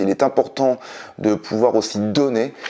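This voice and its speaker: A man talks in a dark, mellow tone at a medium pitch. The background is quiet. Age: 40s. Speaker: independent business trainer and consultant; independent business trainer. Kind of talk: vlog monologue to camera. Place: home room.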